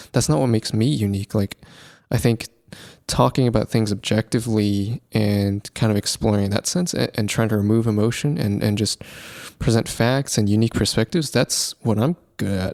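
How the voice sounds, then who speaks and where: A man speaks at a moderate pace in a calm, relaxed tone, with ordinary pitch variation and very even loudness. The sound is dry and close with no echo, in a very clean recording with a silent background. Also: fairly low pitch for a man. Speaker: podcast host. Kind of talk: solo podcast monologue.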